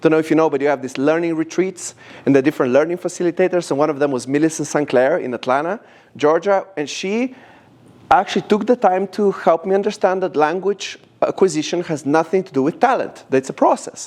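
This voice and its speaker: A man speaks very fast with a Slovenian accent. His pitch is high, with ordinary variation. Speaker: language company founder. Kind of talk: presentation to audience. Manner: animated.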